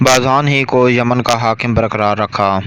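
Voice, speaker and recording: His medium-pitched voice keeps to fairly even intonation while noticeable background noise carries on behind him. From Pakistan. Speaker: voice-over artist. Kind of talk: historical story narration.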